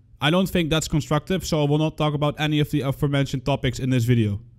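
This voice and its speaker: A man with a strong non-native accent talks at a very fast pace with fairly high pitch and fairly even intonation. The recording is very clean, with a silent background. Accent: thick non-native. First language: not English. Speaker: gaming content creator. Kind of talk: scripted commentary.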